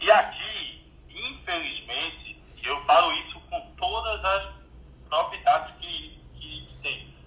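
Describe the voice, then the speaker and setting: A man at a very slow pace, with audible room echo. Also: big swings in loudness. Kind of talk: casual chat.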